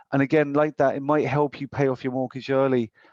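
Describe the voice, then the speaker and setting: A man with a British accent speaks at a medium pitch and a very fast pace, his intonation monotone and flat against a quiet background. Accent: British accent noticeable in Ireland. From UK. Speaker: financial advisor. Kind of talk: presentation with slides. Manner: hesitant, many fillers.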